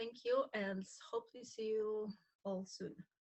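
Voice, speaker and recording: Speaking at a fairly slow pace, a woman with a Polish accent keeps a medium pitch and fairly even intonation. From Poland. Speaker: graduate student instructor. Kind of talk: self-introduction on video call. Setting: video call.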